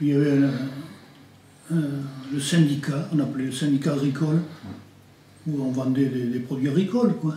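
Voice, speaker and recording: This man's voice has a dark, mellow tone and is somewhat breathy, set at a fairly high pitch, with fairly even intonation and a fairly slow pace. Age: 80s+. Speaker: farmer. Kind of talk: interview answer.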